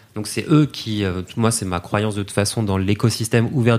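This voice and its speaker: A man with a plain, everyday voice, fairly low in pitch and fairly even in intonation. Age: 30s. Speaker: podcast company content director. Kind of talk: casual chat.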